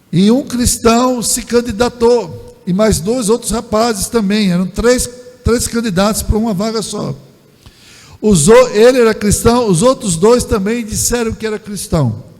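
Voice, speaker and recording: Fairly even intonation at a fairly slow pace, over noticeable background noise. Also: man, high pitch for a man. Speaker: pastor. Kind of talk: sermon. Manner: halting, with filler repetitions.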